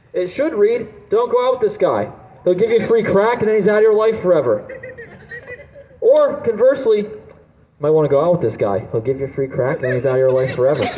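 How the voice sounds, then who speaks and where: A man at a very fast pace, in a New Jersey accent, high-pitched with very wide pitch swings and long, frequent pauses, amid noticeable background noise and audible room echo. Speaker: stand-up comedian. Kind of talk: stand-up. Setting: stage with audience.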